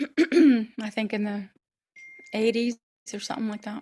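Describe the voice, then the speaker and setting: A woman talks at a fairly slow pace. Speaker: actress, opera singer and voice over actor. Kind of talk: interview answer.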